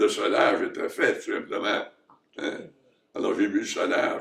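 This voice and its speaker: A man's extremely high-pitched voice at a fairly slow pace. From Quebec, Nicolet region. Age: 90s. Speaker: retired surgeon. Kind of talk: interview. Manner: halting.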